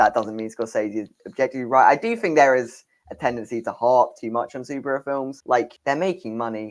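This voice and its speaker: The speaker has a British accent and talks at a fairly quick pace. Pitch variation is ordinary. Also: man. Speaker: film podcast co-host. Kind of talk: casual chat.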